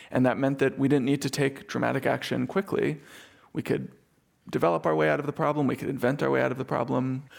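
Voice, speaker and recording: Speaking at a very fast pace, a man uses lively intonation. His medium pitch carries vocal fry. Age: 30s. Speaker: journalist and author. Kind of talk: interview conversation.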